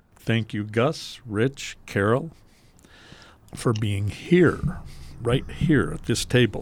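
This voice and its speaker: On a very clean recording with a silent background, a man speaks very slowly at a medium pitch in a somewhat breathy voice with lively intonation. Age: old. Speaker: podcast host, deli owner. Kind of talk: casual advice chat.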